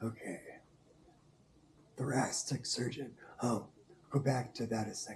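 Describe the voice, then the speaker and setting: A man speaks at a medium pitch with fairly even intonation. There is noticeable background noise. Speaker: quadriplegic vlogger. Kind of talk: casual health update vlog. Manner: hesitant, with fillers.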